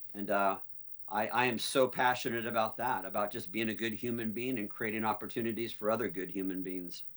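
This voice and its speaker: This man has a plain, everyday voice pitched in the medium range. He talks fairly quickly, with fairly even intonation. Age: 60s. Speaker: beauty school co-founder and dean. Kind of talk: interview.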